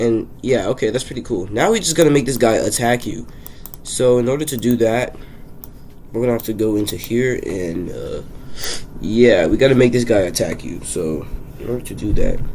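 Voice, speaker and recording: A man talks at a moderate pace and medium pitch with ordinary pitch variation. Audible room echo and noticeable background noise are present. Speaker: game-dev YouTuber. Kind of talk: tutorial-style devlog commentary. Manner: casual, with fillers.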